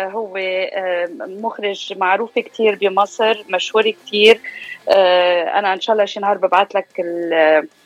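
Noticeable background noise sits behind a woman speaking at a medium pitch and a fairly slow pace. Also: ordinary pitch variation. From Lebanon (Beirut), raised in US from age 4. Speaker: media presenter and actress. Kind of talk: radio interview.

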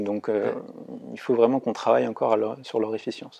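A man talks at a fairly quick pace. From Brittany, France. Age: 20s. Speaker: engineering student. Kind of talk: interview. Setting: studio. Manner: halting with repetitions.

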